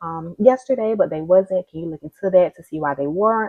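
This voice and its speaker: A quiet woman speaks very fast in a fairly low pitch, her intonation lively. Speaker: social worker. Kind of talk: casual vlog explanation. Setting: at home. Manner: quiet, speaking low; hesitant, many fillers.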